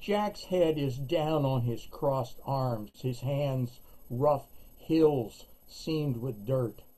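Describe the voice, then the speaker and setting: A man speaks very slowly in a dark, mellow, somewhat breathy tone, his fairly high pitch showing ordinary variation. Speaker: poet. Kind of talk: reading aloud. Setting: video call. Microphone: webcam.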